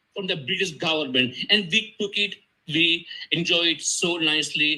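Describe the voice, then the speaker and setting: This man's voice has a high pitch and a bright, sharp tone. His pitch variation is ordinary. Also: moderate pace. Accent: Tamil. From Sri Lanka. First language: Tamil. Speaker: panel speaker. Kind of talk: conference talk. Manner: halting.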